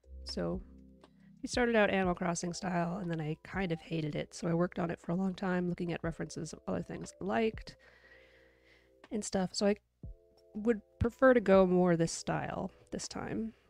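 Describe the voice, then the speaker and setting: Over faint music in the background, a woman speaks at a fairly quick pace in a fairly low pitch, the sound dry with no echo. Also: ordinary pitch variation. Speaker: digital artist streamer. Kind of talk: casual live stream chat while drawing.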